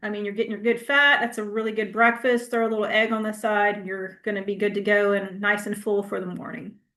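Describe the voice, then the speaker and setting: A woman talks at a fairly quick pace in a fairly high voice with a bright, sharp tone. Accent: Southern US. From US South. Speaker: health educator. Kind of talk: Q&A answer; class presentation. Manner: casual, conversational; fast.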